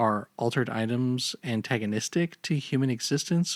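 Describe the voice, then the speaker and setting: In a normal speaking voice, a man talks at a medium pitch and moderate pace with ordinary pitch variation and a dry, close sound with no echo. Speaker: video essayist. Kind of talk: video game lore narration.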